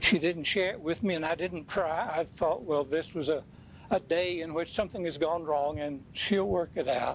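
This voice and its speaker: A moderately paced male voice, fairly high for a man, its pitch varying in an ordinary way. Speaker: preacher. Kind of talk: dramatic first-person monologue of Joseph, after a sermon-style intro. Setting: church. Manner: animated; solemn.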